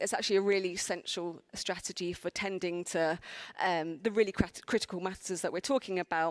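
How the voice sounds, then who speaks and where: On a very clean recording with a silent background, a woman with a South London accent comes through in a dry, close sound with no echo. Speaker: conference speaker. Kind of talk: conference talk. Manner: hesitant, many fillers.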